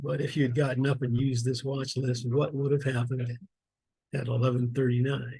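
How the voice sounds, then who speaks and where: A man's somewhat breathy, dark, mellow voice at a medium pitch, monotone and flat, at a fairly quick pace. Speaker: stock investing educator. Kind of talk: screen-share tutorial walkthrough. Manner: casual, conversational.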